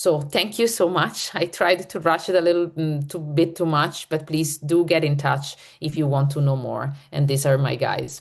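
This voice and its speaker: A woman with a very deep, low pitch, at a moderate pace with hardly any pauses and fairly even intonation. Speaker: neuromorphic computing researcher. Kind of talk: conference talk.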